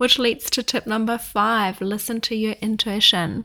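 A woman speaks at a fairly slow pace with a non-native accent and monotone, flat intonation, in a very clean recording with a silent background. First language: not English. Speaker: podcast host and life coach. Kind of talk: casual chat monologue; sales pitch. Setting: sitting with coffee, solo recording.

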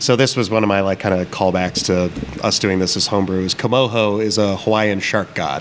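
Over noticeable background noise, a man with an American accent speaks at a fairly quick pace, his fairly low voice keeping fairly even intonation. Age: 30s. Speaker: brewer and brewery co-owner. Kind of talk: casual chat. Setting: taproom of a brewery.

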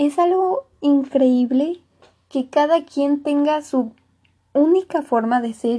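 A woman with a Mexican accent, high-pitched, dark and mellow in tone, at a very slow pace. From Mexico. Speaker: podcaster. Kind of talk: motivational monologue. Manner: casual.

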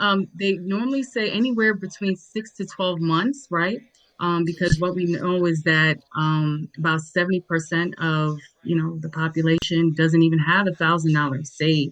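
Speaking at a moderate pace with an American accent, a woman has a fairly low pitch and a plain, everyday voice. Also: ordinary pitch variation. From New York (Nigerian born). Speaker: educator and digital entrepreneur. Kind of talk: panel discussion.

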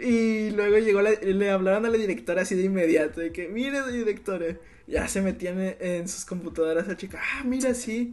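Noticeable background noise lies beneath speech that runs at a moderate rate and has hardly any pauses. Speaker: university student podcast host. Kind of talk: casual chat.

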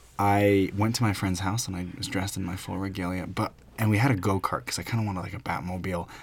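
On a very clean recording with a silent background, a man talks at a very fast pace, somewhat breathy, his intonation fairly even. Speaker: podcast host. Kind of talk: casual chat.

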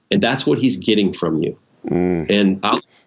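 At a moderate pace, a man with a fairly low pitch talks in an ordinary speaking voice. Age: 50s. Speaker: pastor. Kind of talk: interview.

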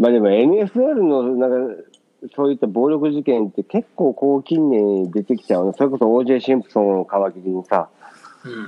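At a moderate pace and medium pitch, a man talks with lively intonation and big swings in loudness. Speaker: podcast co-host. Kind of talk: casual chat. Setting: remote call from Japan, morning.

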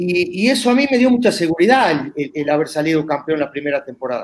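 A man speaks with an Uruguayan accent and lively intonation. His pace is moderate. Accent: Rioplatense Uruguayan Spanish. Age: 50s. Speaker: former footballer. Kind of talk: interview. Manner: halting, repetitive.

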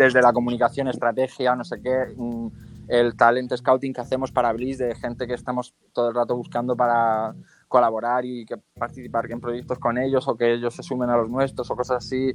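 Monotone, flat intonation runs through speech delivered at a fairly quick pace. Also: man, medium pitch for a man. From Murcia, Spain (La Unión). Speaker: creative director and filmmaker. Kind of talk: interview.

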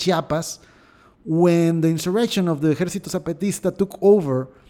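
With a Mexican accent, the speaker has a dark, mellow tone and fairly even intonation. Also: man. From Mexico. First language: Spanish. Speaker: podcast host. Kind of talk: news commentary. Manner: halting, with repetitions.

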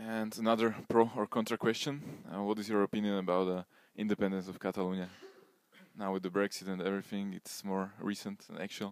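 A man with a Slovak accent speaks at a fairly quick pace in a fairly low, monotone, flat voice, recorded dry and close with no echo, very clean against a silent background. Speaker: podcast host. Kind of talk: interview.

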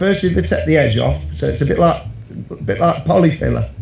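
Audible room echo plus noticeable background noise. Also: man. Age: 50s. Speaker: caller sharing a suicide survival story. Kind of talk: personal testimony.

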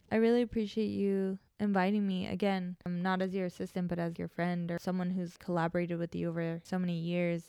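A woman's fairly low, dark, mellow voice at a fairly quick pace, with a dry, close sound and no echo. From Mexico. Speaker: assistant and creative director. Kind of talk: casual chat. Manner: animated.

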